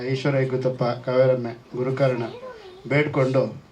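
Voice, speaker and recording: A man's medium-pitched voice, with noticeable background noise and audible room echo. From Coorg, Karnataka. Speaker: actor. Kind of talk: speech at a press event. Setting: film teaser launch event.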